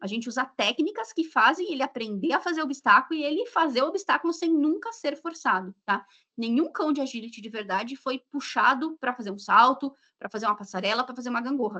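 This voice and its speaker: A woman's high, raised, projected voice, bright and sharp in tone, fairly quick, with lively intonation. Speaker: dog sports and genetics instructor. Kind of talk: live stream interview. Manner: fast.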